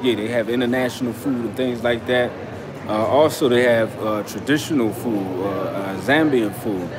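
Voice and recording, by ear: Over clearly audible background noise, a man speaks at a medium pitch and a moderate pace with ordinary pitch variation.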